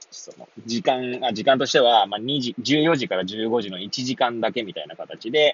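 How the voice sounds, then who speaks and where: The man has a relaxed tone, a medium pitch and ordinary pitch variation. He talks at a moderate pace, with big swings in loudness. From Hachioji, Tokyo. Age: 30s. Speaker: pharmacist podcaster. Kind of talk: casual solo talk. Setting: in a car. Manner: relaxed with many fillers.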